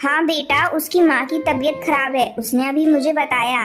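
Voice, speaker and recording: A female-sounding cartoonish character voice, high in pitch, talks at a moderate pace over faint music in the background. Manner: motherly, firm.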